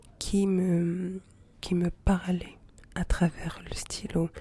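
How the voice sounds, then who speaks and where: Soft-spoken and somewhat breathy, a woman talks at a very slow pace and a medium pitch. Her tone is dark, mellow and relaxed. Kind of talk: ASMR soft-spoken intimate chat to camera. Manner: soft-spoken, relaxed, intimate.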